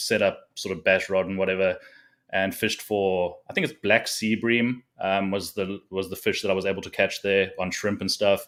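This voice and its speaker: Fairly even intonation at a fairly quick pace, in a very clean recording with a silent background. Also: man. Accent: South African. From South Africa. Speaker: fishing content creator and tournament angler. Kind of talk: casual chat.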